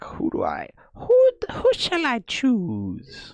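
The man's voice is a put-on character. It sits at an extremely high pitch. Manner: wise, solemn.

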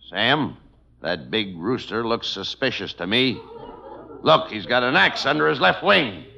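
Putting on a character voice, a man speaks at a fairly slow pace with big pitch swings, a bright, sharp tone and vocal fry. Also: medium pitch for a man.

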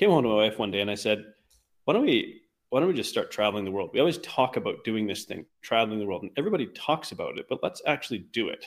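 Here a man speaks with a Canadian accent. His pace is very fast. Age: 40s. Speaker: weight loss coach. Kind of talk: interview conversation.

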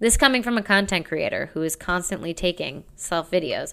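A woman speaks at a moderate pace and a medium pitch, her tone animated with ordinary pitch variation. The recording is very clean, with a silent background. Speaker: comedian and podcast host. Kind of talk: solo monologue podcast. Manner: loud.

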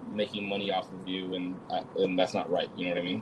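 The man talks at a fairly quick pace. Noticeable background noise can be heard. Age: 20s. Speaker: streamer. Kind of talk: casual chat.

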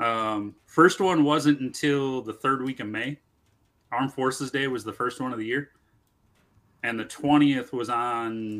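A man with an American accent and a normal speaking voice speaks at a fairly slow pace and medium pitch, with ordinary pitch variation. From US Midwest (southeast Wisconsin). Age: 40s. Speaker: army veteran and motorcycle rider. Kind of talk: casual chat.

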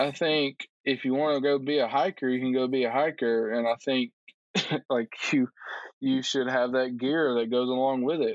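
Here a man speaks at medium pitch. His intonation is fairly even. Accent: Southern US. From Alabama, Tuscaloosa. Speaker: climber and social worker. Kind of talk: casual interview chat.

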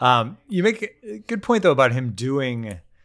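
Speaking at a moderate pace, this man has an unremarkable speaking voice. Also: very clean recording, silent background. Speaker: podcast host covering the Jets. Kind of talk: casual sports chat.

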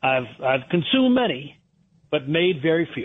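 In an ordinary speaking voice, a man with an American accent talks at a moderate pace. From Connecticut, Fairfield County. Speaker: restaurant owner. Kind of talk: radio interview.

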